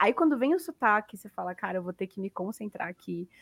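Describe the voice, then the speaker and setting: A woman's normal speaking voice, fairly high-pitched and fairly quick, in a very clean recording with a silent background and a dry, close sound with no echo. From Brazil. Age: 20s. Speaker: sales representative. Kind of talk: casual chat.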